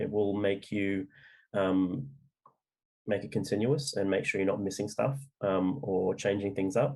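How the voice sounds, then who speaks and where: In an Australian accent, a man speaks at a moderate pace with a dark, mellow tone, a fairly low pitch and ordinary pitch variation. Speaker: novelist. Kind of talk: interview. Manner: halting, many fillers.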